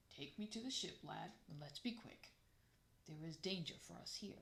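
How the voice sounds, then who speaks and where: A woman puts on a character voice at a fairly low pitch. Her intonation is lively. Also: moderate pace. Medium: read story. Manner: grave, measured.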